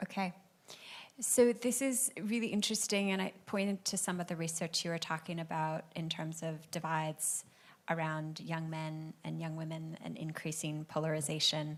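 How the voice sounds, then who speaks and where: In a very clean recording with a silent background, a woman with an American accent and a normal speaking voice talks at a moderate pace, her fairly low pitch varying in an ordinary way. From United States. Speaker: panel moderator. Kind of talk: panel moderation. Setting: event with audience.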